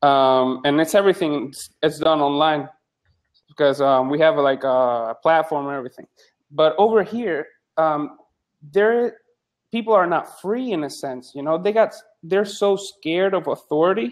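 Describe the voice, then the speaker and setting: A man with a fairly high pitch and a Spanish accent talks at a moderate pace, with long, frequent pauses. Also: lively intonation. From Puerto Rico. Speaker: psychologist and medical student. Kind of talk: casual chat. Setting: live video chat room. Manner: halting.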